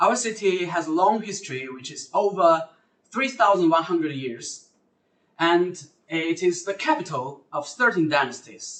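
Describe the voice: Over audible room echo, a man with a fairly high pitch and fairly bright tone speaks at a fairly slow pace with lively intonation.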